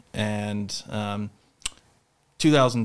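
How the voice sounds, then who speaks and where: In an American accent, a man with a medium pitch talks in a monotone, flat intonation on a very clean recording with a silent background. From Charlotte, North Carolina. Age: 30s. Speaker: podcast host and mental health speaker. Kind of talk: interview, personal testimony.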